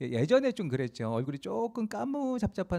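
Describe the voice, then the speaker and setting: A man with a Chungcheong accent talks at a fairly quick pace in a dark, mellow tone, his pitch swinging very widely, on a very clean recording with a silent background. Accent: Chungcheong dialect Korean. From South Korea, rural Asan, South Chungcheong. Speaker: pastor. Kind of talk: sermon. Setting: church, Friday prayer meeting.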